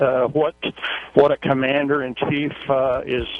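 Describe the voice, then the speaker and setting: Amid noticeable background noise, a man talks fairly slowly in a fairly high voice. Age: 60s. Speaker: caller, truck driver. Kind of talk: radio call-in. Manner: halting.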